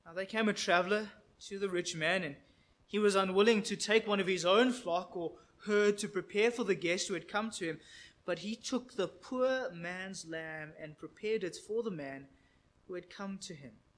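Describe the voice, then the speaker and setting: This man has a high pitch and ordinary pitch variation. He talks at a moderate pace. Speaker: preacher. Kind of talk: sermon, reading scripture. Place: church.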